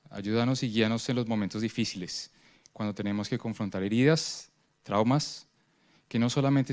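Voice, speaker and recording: Spoken with a Spanish accent at a very fast pace, the intonation stays fairly even. The recording is very clean, with a silent background. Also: man. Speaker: prayer leader at a church conference. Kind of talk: prayer.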